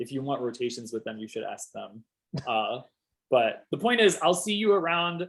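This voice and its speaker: A loud man with a high pitch and very wide pitch swings. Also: moderate pace. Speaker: PhD student giving a talk. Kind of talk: casual chat; lecture.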